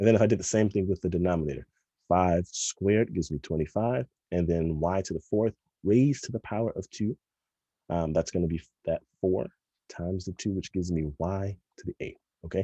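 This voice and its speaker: Over a quiet background and in a dry, close sound with no echo, a man with a very deep, low pitch and a dark, mellow tone moves at a fairly quick pace, using ordinary pitch variation and long, frequent pauses. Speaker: math teacher. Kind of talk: tutorial. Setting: recorded video lesson. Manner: fast.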